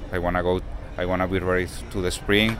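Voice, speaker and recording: A man speaks with a very deep, low pitch and a Latin American accent. His intonation stays fairly even over noticeable background noise. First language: Spanish. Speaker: professional baseball player. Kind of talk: interview. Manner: halting.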